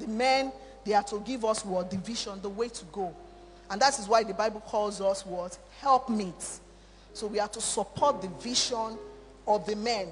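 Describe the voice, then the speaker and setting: The speech runs at a moderate pace amid noticeable background noise. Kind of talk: sermon, altar-call prayer. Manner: fervent, repetitive, exhortative preacher's cadence, urgent and imploring.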